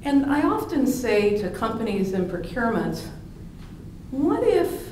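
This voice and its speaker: A woman's pitch swings very widely. The room echo is audible, and background noise is noticeable. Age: 60s. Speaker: supply chain analyst and conference speaker. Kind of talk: conference keynote talk. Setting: stage at a conference.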